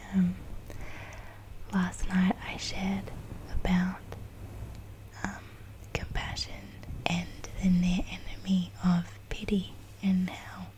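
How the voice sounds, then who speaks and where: Someone speaks at a very slow pace with long, frequent pauses, with noticeable background noise behind the voice. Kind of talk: ASMR ramble, soft self-reflective talk. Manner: slow, reflective, hesitant with filler words.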